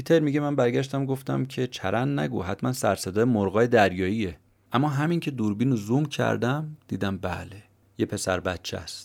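Very wide pitch swings from a man at a moderate pace, on a very clean recording with a silent background. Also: medium pitch for a man. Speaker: podcast host summarizing books. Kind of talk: scripted narration.

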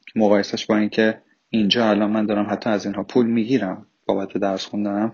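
Talking at a fairly quick pace, this man has a fairly low pitch. His intonation is monotone and flat. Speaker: immigrant student. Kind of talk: interview.

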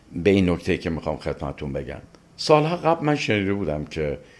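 A man talks at a fairly quick pace. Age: 60s. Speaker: literature professor and translator. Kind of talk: interview.

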